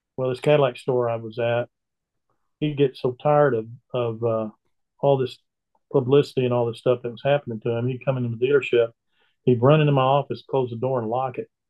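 A man speaks at a very fast pace in a monotone, flat intonation, with a medium pitch. His delivery has long, frequent pauses. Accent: Texan. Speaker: country singer and retired car dealer. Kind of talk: casual chat.

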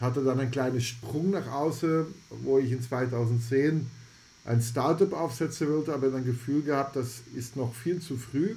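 Somewhat breathy and medium in pitch, a man talks at a moderate pace with fairly even intonation. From Belgium (Antwerp, Flemish). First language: Dutch (Flemish) (speaking German). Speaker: health AI foundation founder. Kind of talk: podcast interview.

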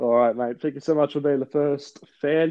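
A man speaks at a fairly high pitch. His pace is moderate and his intonation fairly even. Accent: Australian. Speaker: podcast host. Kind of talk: casual interview chat. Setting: remote recording.

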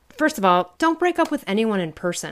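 On a very clean recording with a silent background, a woman's speech runs at a very fast pace. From US Midwest. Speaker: podcast co-host, empowerment coach and author. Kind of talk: casual chat. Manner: animated.

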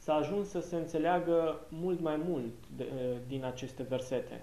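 Fairly high male speech with ordinary pitch variation, a fairly slow pace and audible room echo. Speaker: interpreter. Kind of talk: consecutive interpretation of a Bible study. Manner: hesitant with filler sounds.

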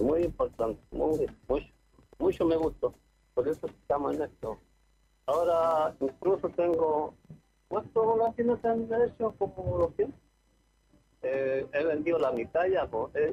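The pace is very slow. Long pauses come often. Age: 70s. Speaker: retired carpenter and kite maker. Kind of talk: interview. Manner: halting, stammering.

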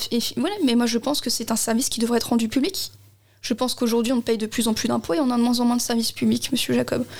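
A woman speaks at a very fast pace in a fairly high voice. Her loudness stays very even. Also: ordinary pitch variation. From Alsace, Strasbourg. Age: 20s. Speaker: election candidate. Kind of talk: political interview.

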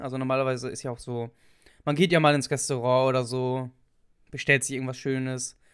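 The recording is very clean, with a silent background. A man talks fairly quickly at a medium pitch in a monotone, flat intonation. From northwestern Germany. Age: young. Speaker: podcast co-host. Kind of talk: casual chat.

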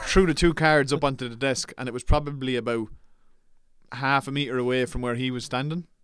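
Speaking with an Irish accent at a fairly quick pace, a man keeps a medium pitch and fairly even intonation. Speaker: podcast co-host. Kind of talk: casual chat. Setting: studio.

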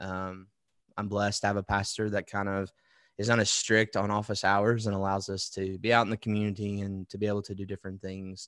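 Against a quiet background, a man talks at a fairly quick pace in a fairly low pitch with monotone, flat intonation. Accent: Alabama. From Alabama (Wetumpka, near Montgomery). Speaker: worship pastor. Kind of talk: interview.

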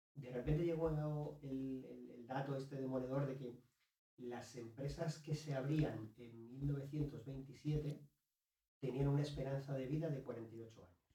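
Amid audible room echo, a man with a fairly high pitch and a dark, mellow, somewhat breathy tone speaks at a very slow pace, his intonation fairly even but his loudness swinging widely. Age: 40s. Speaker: author and business consultant. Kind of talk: interview conversation. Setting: host's home.

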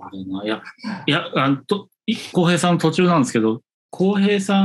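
A man's voice with very wide pitch swings. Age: 40s. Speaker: designer, podcast co-host. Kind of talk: casual chat.

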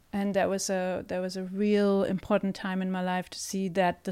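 A woman's flat, monotone delivery with a German accent. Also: very clean recording, silent background. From Germany. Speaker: theatre director and co-host. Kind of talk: casual chat.

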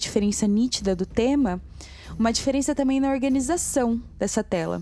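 At a moderate pace, a woman speaks with a high pitch, a dark, mellow tone, and lively intonation. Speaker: podcast co-host and narrator. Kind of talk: dramatic storytelling narration. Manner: theatrical, dramatic, voicing characters.

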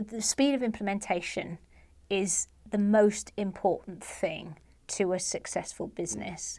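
A woman with a medium pitch and ordinary pitch variation talks at a fairly slow pace. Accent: English. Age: 40s. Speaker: comedian. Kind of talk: interview. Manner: halting.

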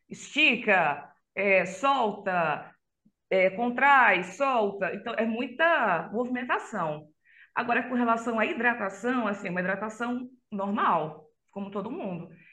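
Audible room echo surrounds a woman's fairly high voice. She speaks very slowly with lively intonation. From Brazil, Belém (Pará), raised in Catalão, Goiás. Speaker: extreme metal vocalist and psychologist. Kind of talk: casual interview.

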